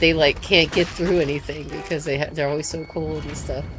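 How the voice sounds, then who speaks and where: With music in the background, a woman in an American accent speaks at a moderate pace with a very deep, low pitch and fairly even intonation. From United States. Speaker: gaming streamer. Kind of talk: live stream gameplay commentary. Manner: halting, many fillers.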